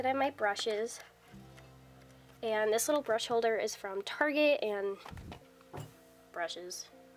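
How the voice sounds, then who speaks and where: With music in the background, the speaker talks at a moderate pace with ordinary pitch variation. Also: woman. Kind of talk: casual talk to camera. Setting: indoors, dorm room.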